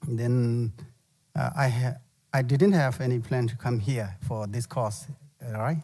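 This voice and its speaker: Somewhat breathy with a dark, mellow tone, a man speaks in a Tibetan accent at medium pitch. His pace is fairly slow, and his pitch varies in an ordinary way. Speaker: Buddhist monk teacher. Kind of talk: dharma teaching. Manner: halting.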